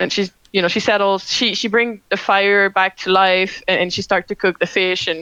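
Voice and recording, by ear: A voice reading aloud in a natural voice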